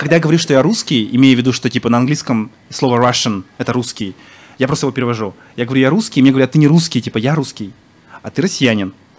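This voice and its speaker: The speaker is a man with a medium pitch and ordinary pitch variation. He talks at a very fast pace. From Yakutia (Sakha Republic), Yakutsk. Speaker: blogger-activist. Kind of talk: casual chat. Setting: bar with live audience.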